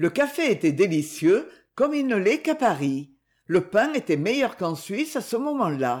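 Big pitch swings on a very clean recording with a silent background. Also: moderate pace.

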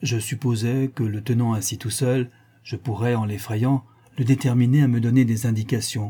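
The delivery is an unforced reading voice. Its intonation stays fairly even.

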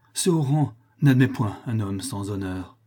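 A man speaks at a very slow pace. His tone is dark and mellow, somewhat breathy. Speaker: voice actor reading theatre. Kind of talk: dramatic theatrical monologue, declaimed. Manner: impassioned, tragic, anguished; declamatory, rising and falling with outrage.

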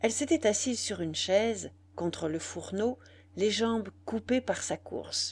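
What is heard here is someone plainly reading aloud.

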